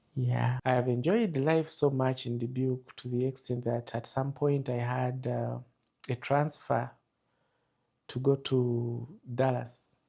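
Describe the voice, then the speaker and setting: A man's somewhat breathy voice, medium in pitch, with a dark, mellow tone. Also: fairly slow pace. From Uganda. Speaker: army soldier and counselor. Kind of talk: interview storytelling. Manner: animated.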